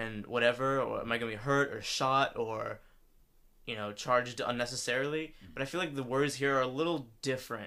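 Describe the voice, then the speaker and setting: Fairly quickly and with big swings in loudness, a man with an American accent speaks in a bright, sharp tone at a medium pitch with fairly even intonation. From US South, Atlanta area. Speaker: podcast co-host. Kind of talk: casual chat.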